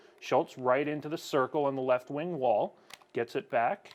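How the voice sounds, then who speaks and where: A man speaks at medium pitch with fairly even intonation in an ordinary speaking voice. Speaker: hockey broadcaster. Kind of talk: live commentary; casual chat. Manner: fast.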